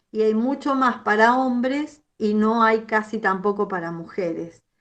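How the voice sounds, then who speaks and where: Against a quiet background, a woman with a fairly high pitch speaks at a fairly slow pace with ordinary pitch variation. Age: 60s. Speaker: psychologist. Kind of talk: lecture. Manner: halting.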